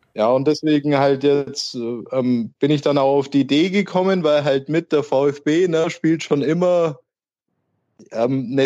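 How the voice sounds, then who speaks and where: A man with a Swabian accent, dark and mellow in tone, lively in intonation and fairly slow. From Nördlingen, Bavaria on the Württemberg border. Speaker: football fan, wheelchair user, early retiree. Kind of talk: casual chat.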